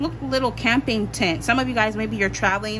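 A woman's voice over noticeable background noise. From Pennsylvania, US. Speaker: tarot reader. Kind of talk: tarot pick-a-card reading. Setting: home recording with meditation music. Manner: casual, filler-heavy.

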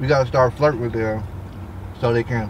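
A man speaks at a fairly quick pace in a monotone, flat intonation. The sound is dry with no echo, though noticeable background noise runs underneath. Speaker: vlogger co-host. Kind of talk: casual vlog chat. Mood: relaxed, joking. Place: car. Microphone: camera far.

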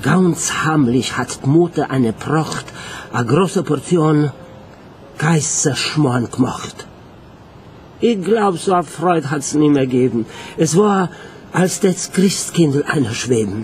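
A man at a very slow pace with lively intonation and long, frequent pauses, over light background noise. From Romania. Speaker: theatre scenic painter. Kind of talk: poetry reading. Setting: live concert stage. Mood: nostalgic, tender. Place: stage.

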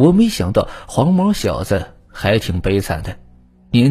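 The clip is read in a natural reading voice.

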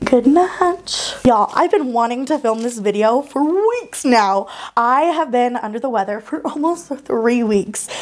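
A woman's high voice with lively intonation at a fairly slow pace. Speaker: baking channel host. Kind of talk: baking tutorial. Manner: animated. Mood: warm, cheerful, sympathetic. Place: kitchen. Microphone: lapel.

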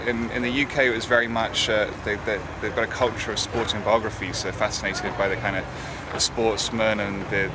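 Over loud background noise, a man talks at a fairly quick pace, the sound dry with no echo. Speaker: interviewee. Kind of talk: interview answer. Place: street.

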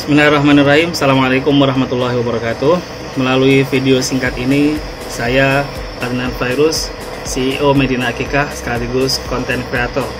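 A man speaking at a fairly quick pace over noticeable background noise. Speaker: content creator. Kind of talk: congratulatory video message. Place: home room. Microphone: phone near.

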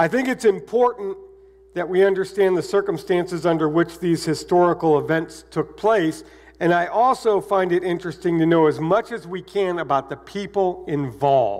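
Against a quiet background, a high-pitched man talks at a moderate pace with ordinary pitch variation. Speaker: pastor. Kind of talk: sermon. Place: church.

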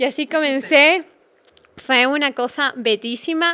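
The voice is raised and projected, bright and sharp in tone, with fairly even intonation over a quiet background. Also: woman. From Ecuador. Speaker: travel blogger; podcast guest, travel blogger. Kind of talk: interview. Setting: studio. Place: studio. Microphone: studio mic.

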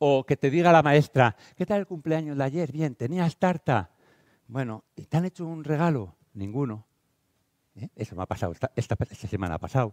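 Over a quiet background, a man with a fairly high pitch speaks at a moderate pace in an animated tone with lively intonation, the sound dry with no echo. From Spain, Castile and León (Valladolid). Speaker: teacher and educational speaker. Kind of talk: conference talk. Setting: stage with audience. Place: hall.

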